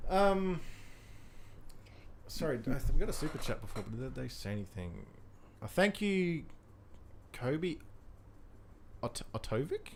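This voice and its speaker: With an Australian accent, a man speaks at a fairly slow pace in a fairly high pitch, his pitch swinging very widely between long, frequent pauses. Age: 20s. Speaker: YouTube film reviewer. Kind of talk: casual chat. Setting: live stream. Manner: animated.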